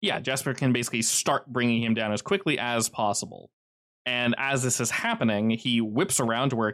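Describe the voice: Fairly even intonation in plain reading aloud, quiet background behind it.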